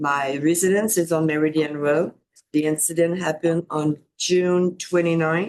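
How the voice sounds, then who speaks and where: A woman speaks at a moderate pace with a strong non-native accent. Her voice is fairly low, with monotone, flat intonation. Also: very even loudness. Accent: thick foreign. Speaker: resident making public comment. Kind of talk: public comment. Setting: county commissioners meeting. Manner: halting.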